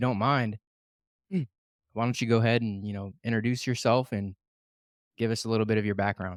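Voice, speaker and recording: In a very clean recording with a silent background, a man with an American accent uses an ordinary speaking voice at medium pitch, fairly quick in pace and fairly even in intonation, with a dry, close sound and no echo. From Ohio (Canton-Massillon area). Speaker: podcast co-host. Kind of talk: podcast interview.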